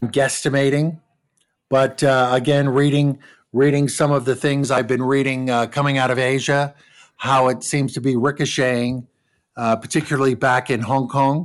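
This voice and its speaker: A man with an American accent speaks in a monotone, flat intonation at very even loudness. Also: medium pitch for a man, moderate pace, very clean recording, silent background. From Southern California, Orange County. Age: 50s. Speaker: travel agent. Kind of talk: interview.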